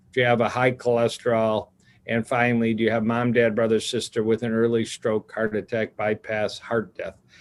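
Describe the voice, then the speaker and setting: An unremarkable speaking voice from a man at medium pitch and a fairly quick pace, on a very clean recording with a silent background. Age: 60s. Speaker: cardiologist. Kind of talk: interview.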